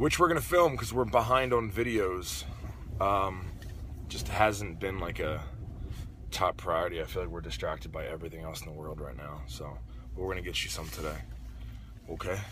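Against noticeable background noise, the speech moves at a moderate pace with long, frequent pauses and big swings in loudness, and the sound is dry with no echo. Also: man. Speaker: vlogger. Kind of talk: casual vlog chat. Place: car. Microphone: phone near.

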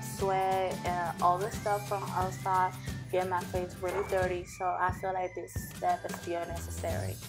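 Clear music plays in the background. A woman speaks over it at a fairly slow pace. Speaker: beauty vlogger. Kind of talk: casual skincare tutorial to camera. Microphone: camera far.

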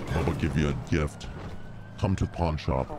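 This man puts on a character voice, pitched very deep and low, at a moderate pace. His loudness stays very even, and clear background noise runs underneath.

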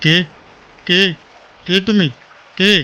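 In a put-on character voice, a man talks shakily at a high pitch. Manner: trembling, scared.

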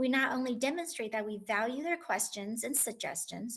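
A woman's plain, everyday voice, fairly high and fairly quick with ordinary pitch variation, on a very clean recording with a silent background. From Taiwan, then Southern California from childhood. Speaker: school instructional coach. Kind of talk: prepared speech at school board meeting. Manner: formal.

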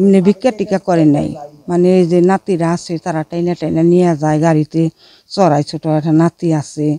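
The voice has a dark, mellow tone and fairly even intonation, in a dry sound with no echo. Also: woman, fairly low pitch for a woman. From Bangladesh. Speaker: wife of a blind farmer. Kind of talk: interview testimony. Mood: sad, subdued. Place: home room. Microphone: handheld.

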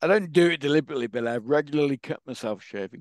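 With an English accent and ordinary pitch variation, the voice comes through as a dry sound with no echo against a quiet background. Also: man. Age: 50s. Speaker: patient advocate with Parkinson's; interview guest. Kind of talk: interview. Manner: animated. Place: home room. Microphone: headset.

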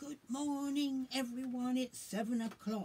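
In a put-on character voice, a woman speaks at a high pitch and a fairly slow pace with fairly even intonation. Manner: cheery.

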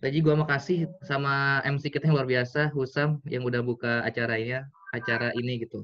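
A man at a fairly quick pace, with hardly any pauses and fairly even intonation. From Tangerang, Indonesia; Indonesia. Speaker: business mentor; guest. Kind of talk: online seminar talk. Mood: casual, motivational. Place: home room. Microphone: video call.

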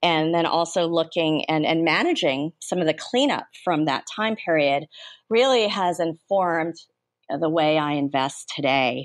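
A woman with an American accent uses a normal speaking voice at a fairly low pitch and fairly slow pace. Her loudness stays very even, pitch variation is ordinary, and the background is quiet. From United States. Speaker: venture capitalist. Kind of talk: interview.

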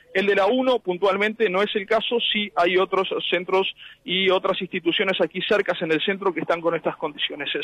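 Over noticeable background noise, a man speaks at a moderate pace in a high pitch, with fairly even intonation and very even loudness. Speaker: field reporter. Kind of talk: live field report. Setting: outdoors at polling station, mobile unit.

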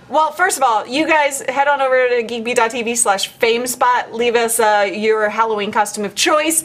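A high-pitched woman's voice at a moderate pace, with hardly any pauses, ordinary pitch variation, very even loudness and noticeable background noise. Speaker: podcast host. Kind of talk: casual banter.

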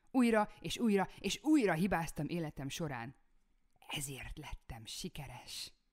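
The voice rises and falls across a very wide pitch range at a fairly slow pace, with big swings in loudness. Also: woman, fairly low pitch for a woman. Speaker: self-development video creator. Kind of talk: scripted motivational talk to camera.

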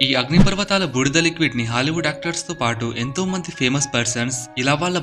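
Music plays in the background. A man speaks at a fairly high pitch with ordinary pitch variation. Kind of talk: fact narration for short video.

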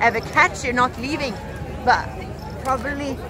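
A woman speaks at a fairly quick pace, with crowd noise in the background. The sound is dry with no echo. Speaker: festival vlogger. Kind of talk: casual vlog chat. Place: open country. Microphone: phone near.

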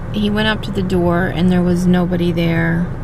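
A woman's very deep, low voice at a fairly slow pace over noticeable background noise. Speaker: vlogger. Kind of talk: casual vlog chat. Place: car. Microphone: phone near.

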